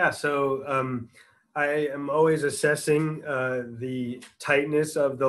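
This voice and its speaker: A man talks with a monotone, flat intonation. His pitch sits fairly high. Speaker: orthopedic surgeon; presenter. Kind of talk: lecture. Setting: video call. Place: home room. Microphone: video call.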